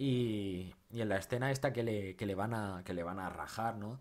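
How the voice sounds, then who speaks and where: Animated tone at a moderate pace, with ordinary pitch variation. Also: man. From Spain. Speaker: film YouTuber. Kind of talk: film review monologue. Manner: halting, many repetitions and fillers; casual, animated. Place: home room.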